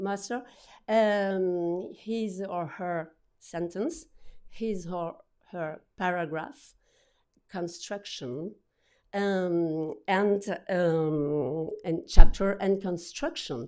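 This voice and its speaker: In a French accent, a woman speaks very slowly with a dark, mellow tone and ordinary pitch variation. Her loudness swings widely, long pauses come often, and the recording is very clean with a silent background. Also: medium pitch for a woman. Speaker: book publisher. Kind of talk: conference talk. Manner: halting, many repetitions and fillers.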